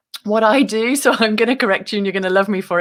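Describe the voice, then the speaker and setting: Speaking very fast with a British accent, a woman keeps a medium pitch and ordinary pitch variation amid noticeable background noise. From UK. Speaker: author and meditation guest. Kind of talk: interview.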